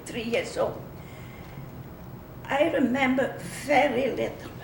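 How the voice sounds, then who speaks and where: A woman at a fairly slow pace, amid audible room echo and noticeable background noise. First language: Flemish. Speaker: war-era civilian interviewee. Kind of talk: oral history interview. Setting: museum.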